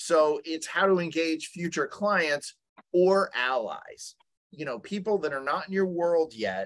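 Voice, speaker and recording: A male speaker against a quiet background. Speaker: webinar presenter. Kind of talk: lecture. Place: home room. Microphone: webcam.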